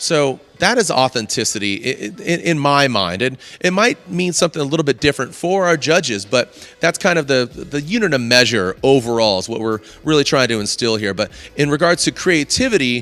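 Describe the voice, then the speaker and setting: At a fairly quick pace, a man with a fairly high voice talks with very wide pitch swings. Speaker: event host and announcer. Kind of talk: live event hosting. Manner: fast; animated.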